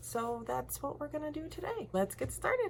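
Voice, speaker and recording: Over noticeable background noise, the voice carries an animated tone. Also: woman. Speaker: lifestyle and makeup vlogger. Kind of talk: casual vlog chat while doing makeup. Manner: chatty, animated.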